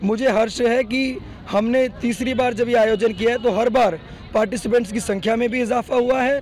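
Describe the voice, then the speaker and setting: An extremely high-pitched man at a moderate pace, fairly even in intonation, over noticeable background noise. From Delhi. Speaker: NGO general secretary. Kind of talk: street interview.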